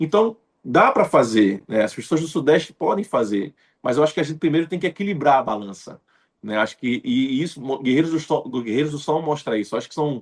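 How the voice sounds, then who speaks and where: Against a quiet background, a man with a Pernambuco accent talks at a fairly quick pace, his fairly high pitch making very wide swings. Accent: Pernambuco northeastern Brazilian. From Recife, Pernambuco, Brazil. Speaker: actor. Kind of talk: interview. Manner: frequent fillers, conversational.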